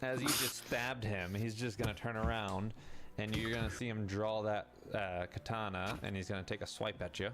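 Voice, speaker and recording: At a fairly low pitch and moderate pace, a man speaks with very even loudness amid noticeable background noise. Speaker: game master. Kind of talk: tabletop role-playing game narration. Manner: animated.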